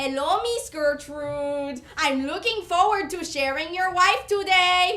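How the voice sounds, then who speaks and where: A woman's put-on character voice, squeaky and extremely high-pitched, with lively intonation at a fairly slow pace. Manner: oily, creepy.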